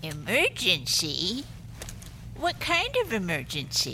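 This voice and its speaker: A woman's put-on character voice at a fairly slow pace, with clear background noise. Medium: audio drama. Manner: prim, haughty.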